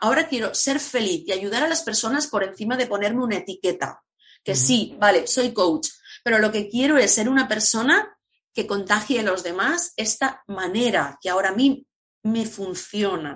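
A woman with an ordinary speaking voice and a fairly high pitch talks at a moderate pace with lively intonation. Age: 50s. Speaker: entrepreneur, former language teacher, coach. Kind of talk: interview.

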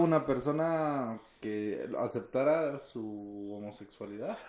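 With a Mexican accent, a man speaks using lively intonation. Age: 20s. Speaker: mechanical engineer. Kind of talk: casual chat. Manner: animated.

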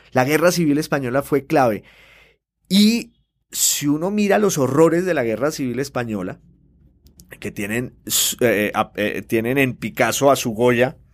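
A man's medium-pitched, lively voice at a fairly slow pace, with long, frequent pauses, in a very clean recording with a silent background. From Colombia, Popayán. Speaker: novelist and newspaper columnist. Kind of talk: interview. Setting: studio. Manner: hesitant with fillers and repetitions.

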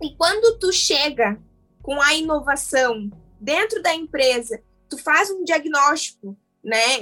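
A woman projects a raised voice with lively intonation as music plays in the background. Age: 20s. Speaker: social responsibility leader at a tech company. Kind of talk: casual panel conversation.

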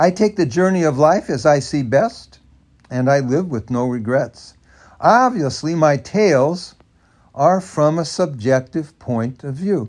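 Over a quiet background, a man talks fairly slowly in an ordinary speaking voice, fairly high-pitched, with lively intonation. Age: 50s. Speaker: author and podcaster. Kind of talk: reading aloud own memoir.

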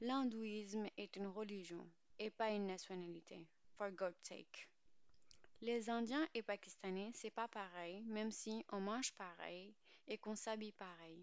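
Using a plain, everyday voice, a woman at a medium pitch talks at a fairly slow pace with ordinary pitch variation. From Pakistan. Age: 20s. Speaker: podcast host. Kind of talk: scripted narration.

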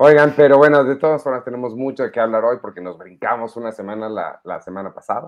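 With a Mexican accent, a man speaks at a fairly quick pace. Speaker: podcast co-host. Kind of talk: casual chat.

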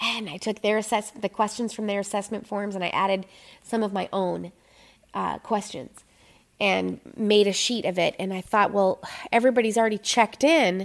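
An unremarkable speaking voice, a woman with an American accent talks at a medium pitch and moderate pace with fairly even intonation on a very clean recording with a silent background. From Minnesota. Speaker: photographer. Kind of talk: casual interview. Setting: photo studio.

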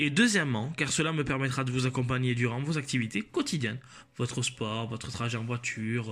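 His is a normal speaking voice, pitched in the medium range. The man keeps a moderate pace and ordinary pitch variation. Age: 20s. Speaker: podcast host, law student. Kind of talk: solo podcast introduction. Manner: scripted, formal.

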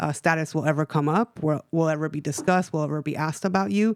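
With an American accent, a woman talks at a very fast pace in a very deep, low pitch, recorded very cleanly against a silent background with a dry, close sound and no echo. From US West Coast, East Los Angeles. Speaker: victim witness advocate. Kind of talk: radio interview.

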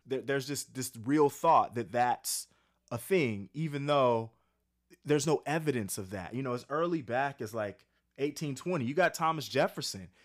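A man's normal speaking voice in an American accent, fairly high in pitch with ordinary pitch variation and a moderate pace, in a very clean recording with a silent background. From US coast, not the South. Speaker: professor. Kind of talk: casual chat.

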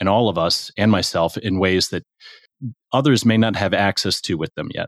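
A plain, everyday voice, a man with an American accent talks at a moderate pace with fairly even intonation, in a dry, close sound with no echo. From US (Houston and St. Louis). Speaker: diversity and inclusion professional. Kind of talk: casual interview.

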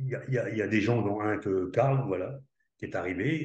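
A man's somewhat breathy, fairly low voice at a fairly quick pace, with lively intonation and audible room echo. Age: 60s. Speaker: network marketer, former army commando. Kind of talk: interview.

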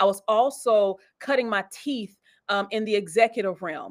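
A woman's unremarkable speaking voice, fairly high in pitch, with ordinary pitch variation and a moderate pace. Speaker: church elder and executive. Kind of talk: casual interview conversation about church and business. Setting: online live video show.

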